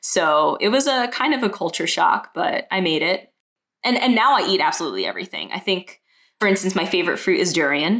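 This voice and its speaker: A woman speaks with an unremarkable speaking voice in a medium pitch. Her pace is fairly quick and her intonation lively. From Brooklyn, New York. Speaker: multidisciplinary artist. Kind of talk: casual interview.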